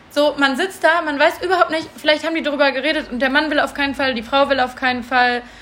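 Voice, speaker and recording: A woman's high voice at a very fast pace, fairly even in intonation, with hardly any pauses and noticeable background noise. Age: 20s. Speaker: podcast co-host, cat rescuer. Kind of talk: casual chat. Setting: recording at home with co-host in the room.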